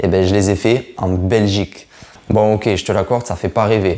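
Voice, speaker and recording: A man with a plain, everyday voice, fairly low in pitch, at a moderate pace and with fairly even intonation. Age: 20s. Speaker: nurse and food vlogger. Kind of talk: casual self-introduction vlog. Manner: casual, with many fillers.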